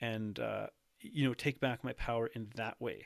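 In a Canadian accent, a man with an unremarkable speaking voice talks with fairly even intonation, his sound dry and close with no echo in a very clean recording with a silent background. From Canada. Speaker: nutrition coach. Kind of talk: casual interview chat.

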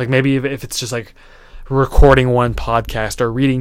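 A man talks with monotone, flat intonation. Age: 20s. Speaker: podcast host and young entrepreneur. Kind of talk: solo motivational talk. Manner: casual, many fillers. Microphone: new microphone, gain turned down low.

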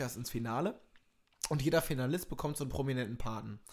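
A man with a medium pitch speaks in a plain, everyday voice. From East Westphalia (Minden), Germany. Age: young. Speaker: comedian. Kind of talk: casual chat.

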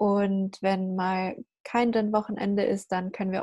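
Against a quiet background, a dark, mellow and somewhat breathy voice moves at a moderate pace. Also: woman. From Germany. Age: young. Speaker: podcast host. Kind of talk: casual chat.

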